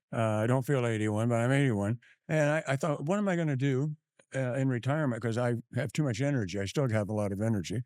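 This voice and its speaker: A man with an American accent talks at a very fast pace in a medium pitch, with ordinary pitch variation and very even loudness. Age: 80s+. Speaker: home care business owner. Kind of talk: interview. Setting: live at a conference.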